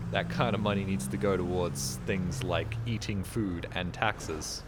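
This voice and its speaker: A man's very deep, low voice in an Australian accent, with very wide pitch swings, very even loudness, a fairly slow pace and audible room echo. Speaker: video game streamer. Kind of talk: casual gameplay commentary. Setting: live stream. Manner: animated.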